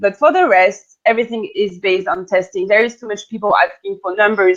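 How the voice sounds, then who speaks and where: A woman with a French accent speaks at a moderate pace and medium pitch. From France. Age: 20s. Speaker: digital marketing consultant. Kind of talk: interview.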